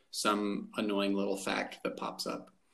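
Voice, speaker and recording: A man is speaking. The room echo is audible. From rural Arizona. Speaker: podcast host. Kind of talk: casual chat.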